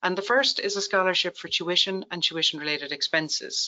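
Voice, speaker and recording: This speaker talks at a moderate pace in an Irish accent. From Ireland. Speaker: tax account presenter. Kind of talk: webinar presentation.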